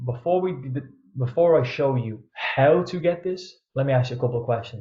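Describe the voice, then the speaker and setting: A man's somewhat breathy voice sits at medium pitch with ordinary pitch variation. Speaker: online coach. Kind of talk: webinar presentation. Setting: pre-recorded online event. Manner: fast; energetic.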